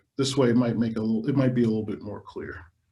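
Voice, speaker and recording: Medium in pitch, a man's voice comes across somewhat breathy. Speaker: electronic musician teaching a workshop. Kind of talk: workshop demonstration.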